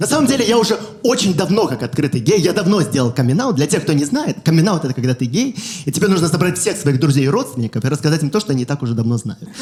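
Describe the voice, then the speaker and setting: A man with a fairly high pitch and very wide pitch swings at a very fast pace, over noticeable background noise. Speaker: stand-up comedian. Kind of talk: stand-up.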